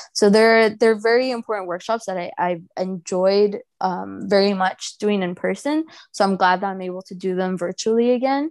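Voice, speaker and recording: A woman with a Spanish accent at medium pitch, moderate pace with hardly any pauses, ordinary pitch variation, quiet background. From Mexico, raised in Houston, Texas. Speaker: museum outreach specialist and baker. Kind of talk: casual interview.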